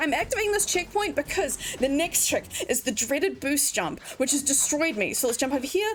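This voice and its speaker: With noticeable background noise behind her, a woman speaks in an animated tone at a fairly quick pace, her high voice making very wide pitch swings. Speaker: speedrunner. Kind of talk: live gameplay commentary. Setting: livestream.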